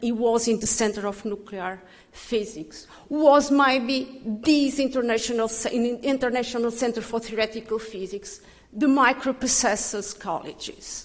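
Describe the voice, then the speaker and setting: A woman with a French accent, high in pitch with ordinary pitch variation, at a fairly slow pace over noticeable background noise. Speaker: physicist giving a tribute. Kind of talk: tribute speech. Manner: halting.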